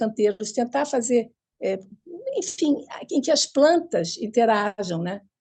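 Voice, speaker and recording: The woman talks at a fairly slow pace in a dark, mellow tone. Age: 80s+. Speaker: urban gardening activist. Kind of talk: panel discussion. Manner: halting.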